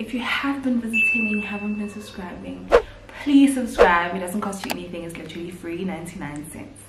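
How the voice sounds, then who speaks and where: A woman speaks over noticeable background noise. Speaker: vlogger. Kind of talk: casual vlog chat. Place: home room. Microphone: camera far.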